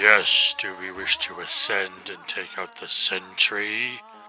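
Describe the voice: Over clear background noise, a man puts on a character voice, speaking at a fairly slow pace and a fairly low pitch.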